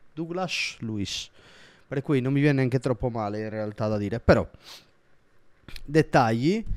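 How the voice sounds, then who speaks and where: The man speaks in an animated tone. His recording is very clean, with a silent background. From Sardinia, Italy. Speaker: football YouTuber. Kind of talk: casual vlog commentary.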